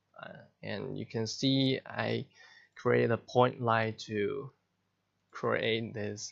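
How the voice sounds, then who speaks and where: He speaks very slowly. The man has a non-native accent. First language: not English. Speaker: software tutorial creator. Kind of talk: tutorial. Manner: halting.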